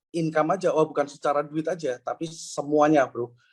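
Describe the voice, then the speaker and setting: Fairly quick speech comes from a man whose voice sits fairly high. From Indonesia, Semarang (Central Java). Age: 30s. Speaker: network marketing speaker. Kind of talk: live interview testimony. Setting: live online event with audience. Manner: hesitant, many fillers.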